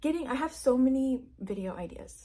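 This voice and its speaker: On a very clean recording with a silent background, the voice sounds somewhat breathy with a dark, mellow tone. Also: woman. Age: 20s. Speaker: new YouTuber. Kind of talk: casual vlog monologue.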